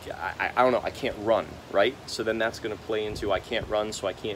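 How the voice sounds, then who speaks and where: The speaker is a man whose voice is fairly low in pitch. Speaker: vlogger. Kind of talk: casual vlog monologue. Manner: halting, stammering; animated.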